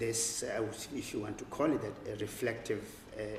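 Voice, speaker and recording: A man with a Zulu accent and fairly even intonation, amid audible room echo and noticeable background noise. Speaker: writer and professor. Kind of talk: public conversation. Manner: halting.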